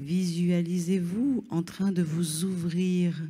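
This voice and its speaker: The tone is soothing and calm, at a very slow pace. The recording is very clean, with a silent background. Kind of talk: guided meditation. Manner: slow, soothing, calm; gentle, instructive, addressing listener directly.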